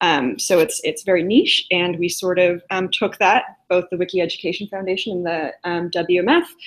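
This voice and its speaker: Speaking with a Californian accent at a moderate pace, a woman keeps a medium pitch and fairly even intonation, with hardly any pauses. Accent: Californian American English. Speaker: program evaluation staff presenting a software demo. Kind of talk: live tutorial demo. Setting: video call live stream. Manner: many filler words, hesitant.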